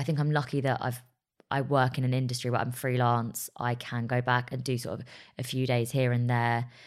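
In an English accent, a woman speaks at a very deep, low pitch. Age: 30s. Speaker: journalist and broadcaster. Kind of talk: casual chat.

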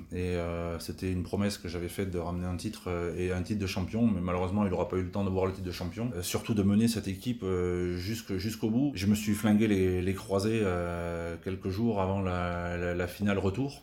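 Room echo can be heard around a man with a slight Tarn accent. His very deep, low voice keeps a fairly even intonation. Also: fairly quick pace. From southern France, Tarn. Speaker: retired basketball player. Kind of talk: interview. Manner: halting.

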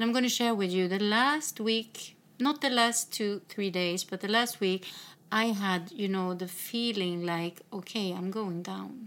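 The recording is very clean, with a silent background. A woman talks at a fairly slow pace with ordinary pitch variation. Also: medium pitch for a woman. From northern Sweden. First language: Swedish. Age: 50s. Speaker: podcast host. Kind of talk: casual chat. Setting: in a home.

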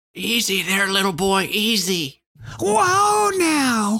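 A female-sounding put-on character voice at a medium pitch and a very slow pace. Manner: gentle, calming.

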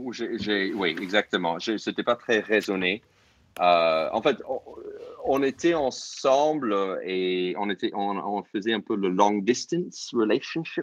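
With an American accent, a man talks at a very slow pace. His fairly low voice has lively intonation. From US, New York suburbs. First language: English (speaking French). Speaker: comedian. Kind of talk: casual chat. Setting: online audio room. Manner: halting.

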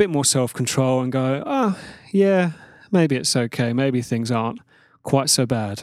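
A plain, everyday voice from a man, medium in pitch, at a moderate pace. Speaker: podcast host. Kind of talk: solo monologue podcast.

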